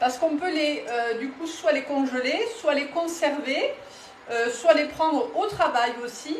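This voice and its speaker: A woman with a Toulouse accent speaks at a high pitch with ordinary pitch variation, amid noticeable background noise and audible room echo. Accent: southern French (Toulouse area). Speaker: cookware sales consultant. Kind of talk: live cooking demonstration. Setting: home kitchen, live stream. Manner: casual, hesitant with fillers.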